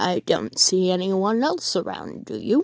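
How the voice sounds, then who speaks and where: At a moderate pace, a woman performs a put-on character voice in a medium pitch. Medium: read story. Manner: tart, no-nonsense.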